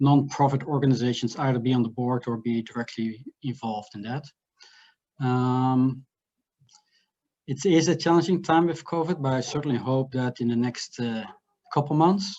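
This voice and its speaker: A man's medium-pitched voice with a slight Dutch accent, moderate pace, ordinary pitch variation and long, frequent pauses. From Netherlands. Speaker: finance executive. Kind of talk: business introduction.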